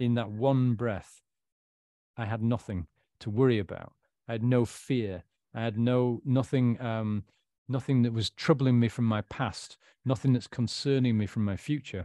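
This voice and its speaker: A man with a northern English accent speaks at medium pitch in a dark, mellow tone with fairly even intonation and long, frequent pauses, recorded dry and close with no echo against a quiet background. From northern England. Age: 40s. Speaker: author and recovered alcoholic. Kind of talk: interview, personal life story.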